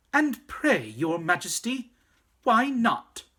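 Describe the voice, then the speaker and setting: A put-on character voice, squeaky and fairly high in pitch, creeps along at a very slow pace. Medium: read story. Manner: gallant, formal.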